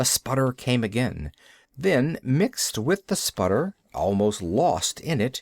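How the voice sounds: Heard here is a natural reading voice.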